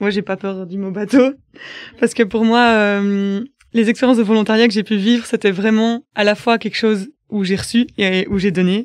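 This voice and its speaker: A woman's fairly high voice at a moderate pace, with fairly even intonation and a quiet background. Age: 20s. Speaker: volunteer. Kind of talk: personal testimony. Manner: hesitant, many filler sounds.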